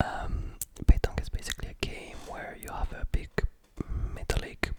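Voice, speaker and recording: Whispering at a fairly slow pace, a man speaks with a French accent. Noticeable background noise runs underneath. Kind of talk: ASMR talk to camera, close-up binaural. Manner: whispered, soft-spoken.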